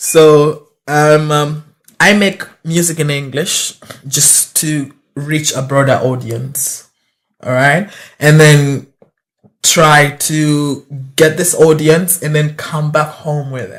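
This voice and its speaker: A man speaks very slowly in a fairly high, somewhat breathy voice with fairly even intonation. He takes long, frequent pauses, and his loudness swings widely. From Uganda. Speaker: rapper. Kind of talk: casual interview. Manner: halting, many fillers. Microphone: too far from the mic.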